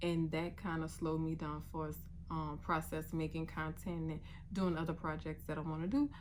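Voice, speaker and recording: A woman talks at a moderate pace in a room with audible echo. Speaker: vlogger and sewing content creator. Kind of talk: casual vlog monologue.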